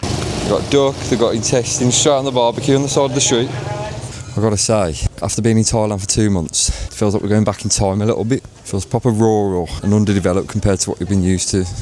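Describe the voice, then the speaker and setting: A man talks very fast with hardly any pauses, his pitch fairly low and ordinarily varied. Noticeable background noise runs underneath. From England, West Midlands (Wolverhampton). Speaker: travel vlogger. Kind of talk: travel vlog narration. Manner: casual, chatty.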